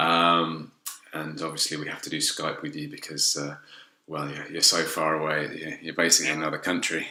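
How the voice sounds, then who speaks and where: Over noticeable background noise, a man talks at a fairly quick pace in a very deep, low voice with monotone, flat intonation. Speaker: podcast host. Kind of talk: interview. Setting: video call. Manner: hesitant, many ums.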